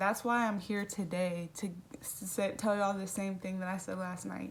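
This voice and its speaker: This woman's voice is somewhat breathy and sits at medium pitch. She talks at a moderate pace. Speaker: youtuber. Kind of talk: casual Q&A vlog. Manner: casual, filler-heavy.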